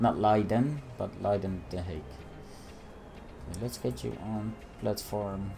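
A lively, rising-and-falling delivery in a Dutch accent, spoken at a fairly slow pace. Long pauses come often, with music playing in the background. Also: man, fairly low pitch for a man. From Netherlands. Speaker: gaming YouTuber. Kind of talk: let's play gameplay commentary. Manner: casual, hesitant.

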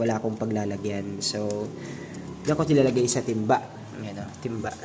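A very fast pace with ordinary pitch variation, plus audible room echo and noticeable background noise. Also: man. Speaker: aquarium hobbyist vlogger. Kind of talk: casual video tutorial. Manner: casual, conversational.

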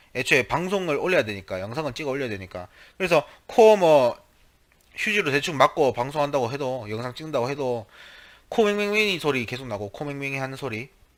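His pitch swinging very widely, a man delivers his words at a fairly quick pace. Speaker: gaming YouTuber. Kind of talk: casual vlog talk to viewers. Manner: halting, many fillers.

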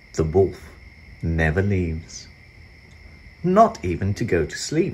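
A man speaks slowly in a low voice with a slightly mellow tone and big swings in pitch.

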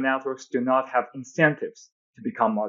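A man with a Chinese accent speaks at a moderate pace against a quiet background. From China. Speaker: physics PhD researcher; podcast guest. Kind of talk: technical interview. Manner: hesitant, many fillers. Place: home room. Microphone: earbuds.

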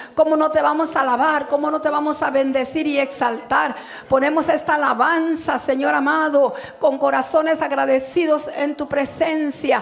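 Faint music plays behind a woman speaking at a high pitch and a moderate pace in a monotone, flat intonation. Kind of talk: public prayer. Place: church. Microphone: handheld.

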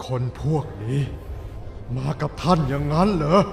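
Using a put-on character voice pitched fairly high, a man speaks over clear background noise.

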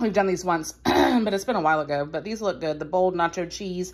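Her speech runs at a fairly quick pace, the speaker being a woman. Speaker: home vlogger. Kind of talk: casual vlog chat. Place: home room. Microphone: phone near.

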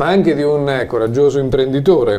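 A man with a fairly high pitch, an ordinary speaking voice. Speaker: TV interviewer. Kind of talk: TV interview. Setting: studio. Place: studio. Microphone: lapel.

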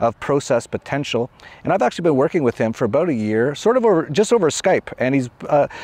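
A man talks at a very fast pace with very wide pitch swings. The sound is dry, with no echo. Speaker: interview show host. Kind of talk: show intro, casual talk. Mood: upbeat, laughing often. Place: open country. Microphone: lapel.

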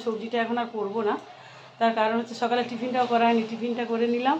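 A woman talks in a high voice against noticeable background noise. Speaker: vlogger. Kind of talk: casual vlog narration. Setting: kitchen at home.

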